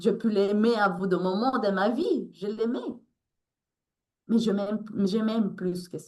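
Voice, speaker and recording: A woman speaks at a fairly slow pace with medium pitch. Long pauses come often between her words. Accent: Latin American. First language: Spanish (speaking French). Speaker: author and resilience coach. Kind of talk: interview. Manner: halting.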